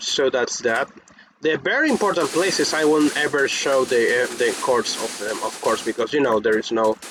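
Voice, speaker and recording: With a non-native accent, the speaker holds a moderate pace over noticeable background noise. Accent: non-native English, pronunciation unsure. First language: Spanish. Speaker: gaming youtuber. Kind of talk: casual gameplay commentary. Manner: halting, many restarts and fillers.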